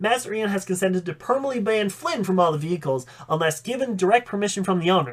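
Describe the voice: The speaker is doing plain reading aloud.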